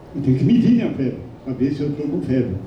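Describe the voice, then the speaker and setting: Audible room echo surrounds a man speaking at a fairly quick pace, his pitch swinging very widely. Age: 70s. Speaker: health council member. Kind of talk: public meeting speech.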